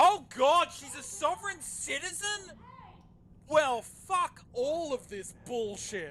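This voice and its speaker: Very slow speech in an Australian accent, with noticeable background noise. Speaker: video game streamer. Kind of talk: gameplay commentary. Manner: animated.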